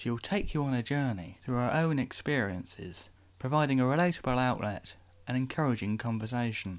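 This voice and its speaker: A man with an ordinary speaking voice, medium pitch, lively intonation, a fairly quick pace and very even loudness, on a very clean recording with a silent background. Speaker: podcast host. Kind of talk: scripted intro and outro announcements.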